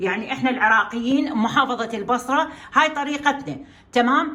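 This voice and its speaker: A high-pitched woman speaks moderately fast, with ordinary pitch variation. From Iraq, Basra. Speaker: cooking channel host. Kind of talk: cooking tutorial. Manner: speaking louder than usual today; hesitant, many fillers.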